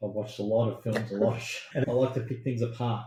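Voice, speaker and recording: A man speaks with an Australian accent in a dark, mellow, somewhat breathy tone. His intonation is monotone and flat. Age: 70s. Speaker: former science industry agent. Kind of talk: casual chat.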